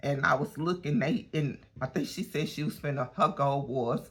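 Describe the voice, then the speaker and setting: Her voice is very deep and low in pitch, somewhat breathy, as this woman speaks at a moderate pace. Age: 60s. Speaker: lifestyle vlogger. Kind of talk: casual vlog monologue. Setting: at a gym. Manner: chatty, conversational.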